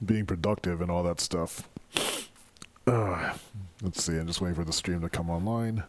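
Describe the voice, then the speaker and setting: Over noticeable background noise, the speech moves at a moderate pace with fairly even intonation and long, frequent pauses. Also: man, very deep, low pitch for a man. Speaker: live streamer. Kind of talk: casual live stream chat. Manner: hesitant, many fillers.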